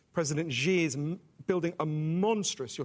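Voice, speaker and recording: On a very clean recording with a silent background, a man with a British accent speaks with ordinary pitch variation. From England. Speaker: author. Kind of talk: panel discussion.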